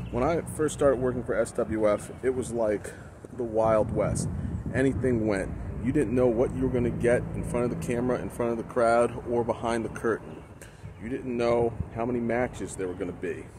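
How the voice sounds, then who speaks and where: A dry sound with no echo, fairly even intonation and a moderate pace, over noticeable background noise. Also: man, medium pitch for a man. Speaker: professional wrestling ring announcer. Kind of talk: casual talk to camera, promotional reflection. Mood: nostalgic, promotional. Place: open country. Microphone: phone near.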